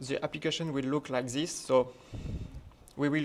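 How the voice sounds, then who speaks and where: Someone with a French accent speaks at a fairly slow pace with fairly even intonation. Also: man. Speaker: conference speaker, software developer. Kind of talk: technical conference talk.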